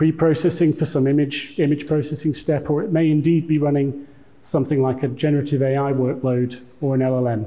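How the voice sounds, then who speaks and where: Audible room echo surrounds a man's fairly high-pitched voice. His tone is dark and mellow, and his pace is moderate. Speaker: tech executive giving conference talk. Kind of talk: conference presentation.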